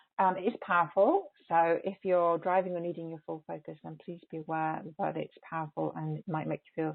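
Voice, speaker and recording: A woman speaks with an English accent at a moderate pace. Her loudness swings widely. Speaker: energy healer. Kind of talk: teleconference talk before a guided healing transmission. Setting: phone and webcast group call. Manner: halting with many repeated words; softer when channeling. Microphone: may be far from the microphone, quiet.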